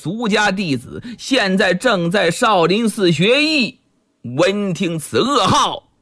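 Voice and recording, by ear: The background is hushed. A natural voice reads aloud.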